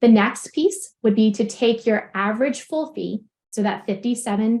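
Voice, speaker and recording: The woman's voice sits at a fairly high pitch and is somewhat breathy. Behind her the background is quiet. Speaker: practice consultant. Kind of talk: webinar presentation. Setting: online webinar. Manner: fast.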